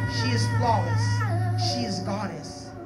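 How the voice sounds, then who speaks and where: Over loud background noise, a man speaks. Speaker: spoken word poet. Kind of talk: spoken word poetry performance at a wedding.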